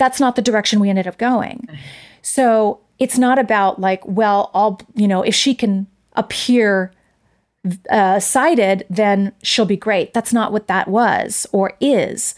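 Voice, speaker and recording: In an ordinary speaking voice, a woman with a fairly high pitch speaks at a fairly slow pace on a very clean recording with a silent background. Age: 50s. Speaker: stage and screen actress. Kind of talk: interview.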